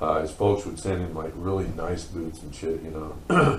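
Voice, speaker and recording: Audible room echo surrounds a man with a very deep, low voice and an American accent. He talks at a moderate pace with ordinary pitch variation. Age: 50s. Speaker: former group home resident. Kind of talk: interview testimony. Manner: casual, halting with fillers.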